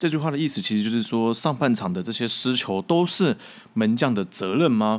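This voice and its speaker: At a fairly quick pace, a man with a medium pitch speaks in an ordinary speaking voice. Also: lively intonation. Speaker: football commentator and podcast host. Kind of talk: solo podcast monologue.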